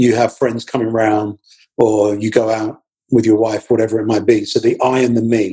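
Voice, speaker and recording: A man talks at moderate pace and medium pitch in a dark, mellow, somewhat breathy tone with monotone, flat intonation. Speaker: marketing professor and personal branding coach. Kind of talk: interview.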